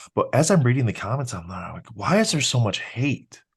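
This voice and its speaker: Against a quiet background, a man speaks somewhat breathily at a moderate pace. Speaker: YouTube card collecting content creator. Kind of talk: interview answer.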